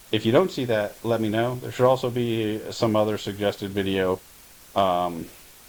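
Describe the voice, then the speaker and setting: A man's fairly low voice at a moderate pace, ordinary pitch variation, noticeable background noise behind it. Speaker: YouTuber and real estate investor. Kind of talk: casual vlog monologue. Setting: at home on the couch. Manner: halting, many filler words.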